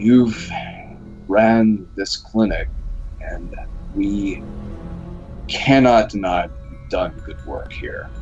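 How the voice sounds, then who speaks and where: A man talks in a put-on character voice at a very slow pace. Clear background noise can be heard. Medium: actual play. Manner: hesitant, deliberate.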